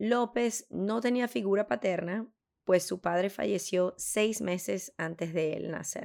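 A woman talks at a very slow pace. Her medium pitch shows ordinary variation. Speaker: podcast co-host. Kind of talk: true crime storytelling.

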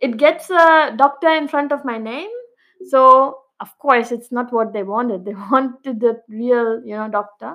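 At a fairly slow pace, a woman with an Indian accent speaks in a bright, sharp tone at a high pitch with ordinary pitch variation. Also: big swings in loudness. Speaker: PhD student and research scientist. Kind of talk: podcast interview.

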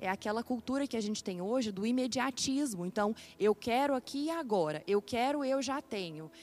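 A normal speaking voice with lively intonation, a moderate pace and hardly any pauses. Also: woman, fairly high pitch for a woman. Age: 20s. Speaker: psychiatry resident doctor. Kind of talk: interview.

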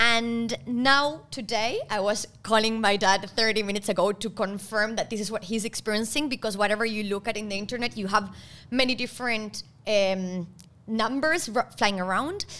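At a moderate pace, a woman with a Spanish accent speaks at a fairly high pitch in a bright, sharp tone with ordinary pitch variation. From Argentina. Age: 30s. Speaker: podcast co-host. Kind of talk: casual chat.

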